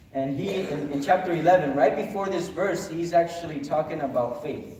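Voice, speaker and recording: A man with a Spanish accent speaks at a moderate pace with ordinary pitch variation. There is audible room echo along with noticeable background noise. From Honduras. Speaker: pastor. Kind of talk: sermon. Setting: chapel service.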